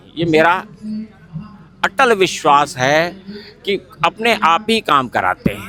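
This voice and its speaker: A man's voice over noticeable background noise. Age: 70s. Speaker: spiritual organization coordinator, ex-air force. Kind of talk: interview, personal testimony. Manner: repetitive, earnest.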